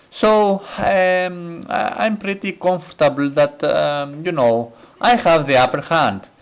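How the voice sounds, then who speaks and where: A man with a non-native accent speaks very slowly, using lively intonation. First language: not English. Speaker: gaming commentator. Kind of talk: gameplay commentary. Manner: hesitant, many fillers.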